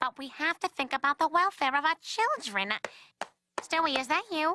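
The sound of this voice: Doing a cartoonish character voice, a woman speaks at a high pitch and a moderate pace with lively intonation, the sound dry and close with no echo.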